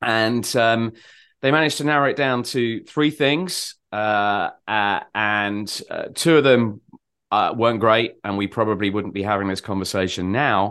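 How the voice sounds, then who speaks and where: Against a quiet background, a man speaks at a fairly slow pace in an ordinary speaking voice. His pitch is medium, with ordinary pitch variation. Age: 50s. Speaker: marketing agency director and author. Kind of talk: interview conversation.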